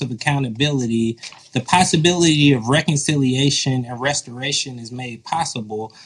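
A man with an American accent speaks at a moderate pace in a fairly high, somewhat breathy voice. His loudness swings widely while his pitch moves in an ordinary way. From US South, metro Atlanta. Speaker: author and pastor. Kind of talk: interview.

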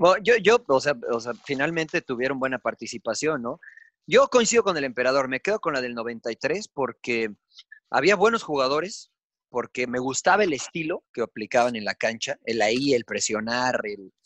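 In a dry, close sound with no echo, a man with an unremarkable speaking voice talks at a moderate pace with lively intonation. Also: medium pitch for a man. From Mexico. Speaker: sports commentator. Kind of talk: casual chat.

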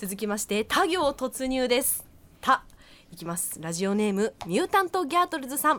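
This woman talks at a moderate pace in a high pitch, with very wide pitch swings and big swings in loudness. Noticeable background noise is present. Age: 20s. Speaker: radio co-host. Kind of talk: casual radio chat.

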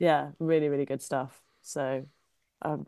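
In a Cornish accent, a woman speaks with a dry, close sound with no echo against a quiet background. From Cornwall. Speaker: comedian. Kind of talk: casual chat. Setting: video call.

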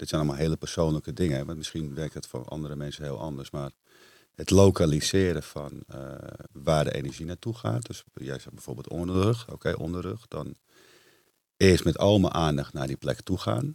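A man speaks at a moderate pace with very deep, low pitch and vocal fry. His intonation is lively. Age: 40s. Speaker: entrepreneur and retreat center owner. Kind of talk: casual interview.

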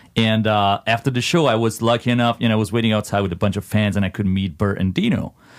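Very even in loudness, a man speaks at a very fast pace in a fairly low pitch with ordinary pitch variation. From Italy. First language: Italian. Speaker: metal band vocalist. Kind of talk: casual interview.

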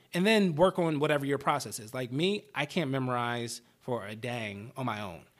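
An American-accented man at a moderate pace, hardly any pauses, lively intonation and big swings in loudness, on a very clean recording with a silent background. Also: medium pitch for a man. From US, Baltimore, Maryland. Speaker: actor. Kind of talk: casual interview chat. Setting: podcast studio. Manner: mumbles a lot.

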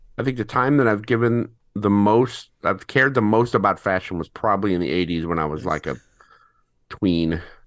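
A man's plain, everyday voice, fairly low in pitch, with lively intonation, a moderate pace, and a quiet background. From St. Louis, Missouri. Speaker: tattoo artist and graphic designer. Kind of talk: quiz game chat.

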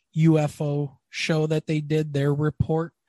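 A somewhat breathy man with an American accent, against a quiet background. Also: dry, close sound with no echo. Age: 50s. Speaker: podcast host. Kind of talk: casual interview. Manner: animated.

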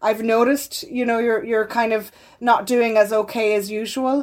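A woman with an Irish accent speaks at a moderate pace, her fairly high pitch carried on fairly even intonation. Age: 40s. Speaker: clinical psychologist. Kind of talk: interview.

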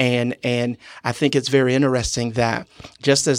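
In an American accent, a man speaks at a medium pitch with monotone, flat intonation and a dry, close sound with no echo. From US Deep South, Louisiana near New Orleans. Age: 30s. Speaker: pastor. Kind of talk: casual chat.

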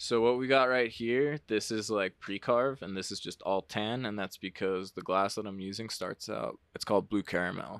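An unremarkable speaking voice: a man with an American accent talks at a moderate pace and fairly low pitch, with ordinary pitch variation and hardly any pauses. The recording is very clean and silent in the background, with a dry, close sound and no echo. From New Jersey (Jersey Shore). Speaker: glass artist. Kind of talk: casual chat.

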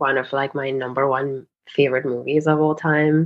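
A woman speaks with a Spanish accent. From Spain, Madrid. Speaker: fashion stylist. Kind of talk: interview conversation.

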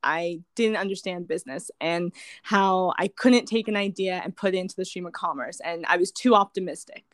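With an American accent, an unremarkable speaking voice moves at a moderate pace with ordinary pitch variation. The sound is dry and close, with no echo. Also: woman. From California. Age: 20s. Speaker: wellness coach and business founder. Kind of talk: casual interview chat.

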